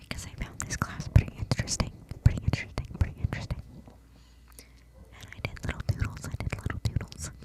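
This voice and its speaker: A whispering voice moves at a fairly quick pace with big swings in loudness, against noticeable background noise. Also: woman. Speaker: ASMR creator. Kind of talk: ASMR whisper rambling. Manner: semi-inaudible whisper.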